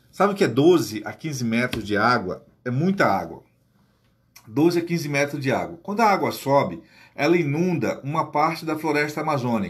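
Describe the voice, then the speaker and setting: A man with a fairly high pitch and vocal fry talks at a moderate pace with lively intonation over a quiet background. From Amazonas, Brazil. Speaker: teacher and guide; teacher explaining geography. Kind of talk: casual explainer to camera; casual explanatory vlog talk. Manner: hesitant, repeats words. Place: home room. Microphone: phone near.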